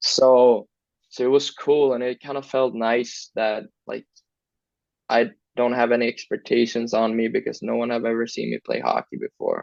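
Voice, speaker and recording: At a moderate pace, a man talks in a Swedish accent. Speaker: hockey player. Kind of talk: interview. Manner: casual, hesitant.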